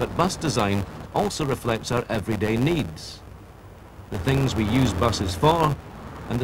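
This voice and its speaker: Lively intonation carries this moderate-paced voice over noticeable background noise. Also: man. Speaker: documentary narrator. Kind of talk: scripted vintage-style documentary narration. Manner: formal, measured, authoritative, polished.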